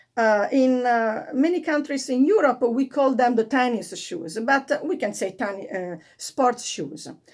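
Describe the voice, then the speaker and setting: A high-pitched woman with an Italian accent, very slow in pace and very wide in her pitch swings. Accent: Italian accent, non-native English. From Italy. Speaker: fashion vlogger. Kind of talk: tutorial. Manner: halting, many fillers.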